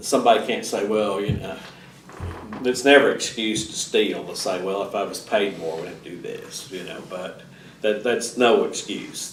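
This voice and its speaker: A man speaks at a moderate pace with big swings in loudness. The recording has audible room echo and noticeable background noise. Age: 60s. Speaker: civics teacher and local politician. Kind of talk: lecture with Q&A. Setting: public library classroom. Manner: halting, many fillers and restarts.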